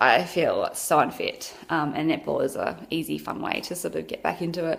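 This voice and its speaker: A woman speaks with an Australian accent. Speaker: vlogger. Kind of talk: casual chat.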